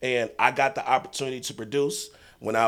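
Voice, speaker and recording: A man with a plain, everyday voice, medium pitch, fairly even intonation and an American accent. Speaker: basketball coach. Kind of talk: casual chat.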